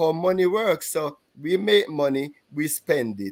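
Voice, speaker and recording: A man speaks with a Jamaican accent. His pitch is fairly high and his pace fairly slow. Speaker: podcast co-host and insurance broker. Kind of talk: casual panel chat. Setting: livestream. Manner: halting, many fillers.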